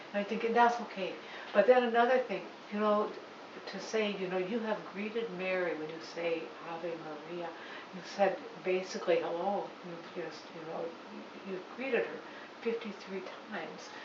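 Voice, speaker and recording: A woman at medium pitch and a moderate pace, ordinary pitch variation, long, frequent pauses, audible room echo and noticeable background noise. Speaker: parent at a catechesis workshop. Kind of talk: audience question and discussion. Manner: halting, repeated phrases.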